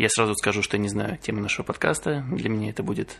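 A man is speaking, and background noise is noticeable throughout. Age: 20s. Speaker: podcast co-host, IT worker. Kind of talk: casual chat.

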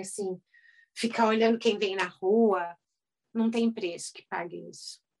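A plain, everyday voice from a woman, medium-pitched, moderately paced, with ordinary pitch variation. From Brazil, São Paulo. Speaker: dentist turned house cleaner and youtuber. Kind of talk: casual interview.

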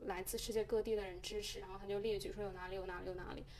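Noticeable noise runs through the background. Over it, a woman talks. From mainland China. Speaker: podcast host. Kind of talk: casual chat.

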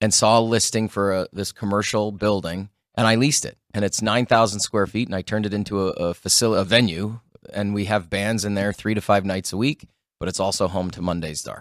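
In an Ontario accent, a man with a fairly low pitch talks at a fairly quick pace and fairly even intonation, recorded dry and close with no echo on a very clean, silent background. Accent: Canadian (Ontario). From Sault Ste. Marie, Ontario, Canada. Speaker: show host and emcee. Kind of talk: casual chat.

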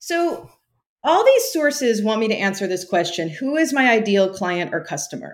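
With an American accent, a woman speaks at a moderate pace with very wide pitch swings on a very clean recording with a silent background. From US West Coast, California Central Valley. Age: 40s. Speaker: former teacher turning bookkeeper. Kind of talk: coaching interview.

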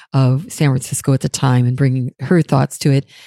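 Very deep and low for a woman, her dark, mellow voice races at a very fast pace with fairly even intonation in a dry, close sound with no echo. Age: 60s. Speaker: chocolatier. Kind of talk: casual chat. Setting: studio.

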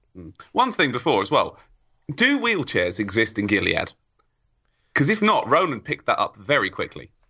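With an English accent, a man talks at a moderate pace, leaving long, frequent pauses. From England. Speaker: podcast panelist. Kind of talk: casual chat.

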